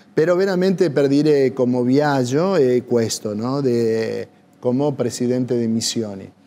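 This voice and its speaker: A man speaks fairly slowly with an Argentine accent. His medium-pitched voice shows ordinary pitch variation. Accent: Argentine Spanish accent in Italian. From Argentina. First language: Spanish (speaking Italian). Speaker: priest. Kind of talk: TV interview. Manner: halting, searching for words. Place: cafe.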